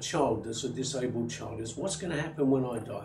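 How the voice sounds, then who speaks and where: A man talks at a fairly quick pace. Noticeable background noise and audible room echo are present. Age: 70s. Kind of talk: interview. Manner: halting.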